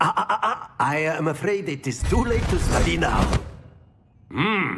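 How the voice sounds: Faint music plays behind a man doing a put-on character voice with a fairly high pitch, big pitch swings, a fairly bright tone and a fairly slow pace.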